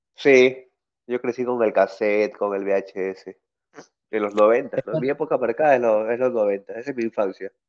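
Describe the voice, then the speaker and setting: An ordinary speaking voice from a man at medium pitch, with fairly even intonation and a moderate pace. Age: 30s. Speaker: guitarist and music producer. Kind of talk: casual interview.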